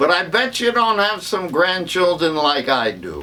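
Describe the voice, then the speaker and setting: A man projects a raised voice with a bright, sharp tone, moving at a very slow pace through very wide pitch swings, with audible room echo. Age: 80s+. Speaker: stand-up comedian. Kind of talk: stand-up.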